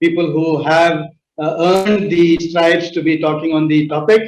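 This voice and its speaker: Monotone, flat delivery from a man with a high pitch, at a moderate pace. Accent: Indian. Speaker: panel chair, tech company founder. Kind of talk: panel discussion moderation. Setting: virtual summit. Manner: hesitant, many fillers.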